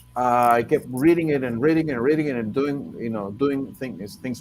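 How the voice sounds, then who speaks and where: A man at a medium pitch with a Spanish accent, moderate pace and ordinary pitch variation, over noticeable background noise. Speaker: translator and poet. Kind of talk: panel discussion. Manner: halting, many repetitions.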